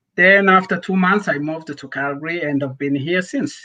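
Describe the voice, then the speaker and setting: A man with a non-native accent, a bright, sharp tone and a moderate pace. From Rwanda. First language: not English. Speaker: nonprofit founder. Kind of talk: interview.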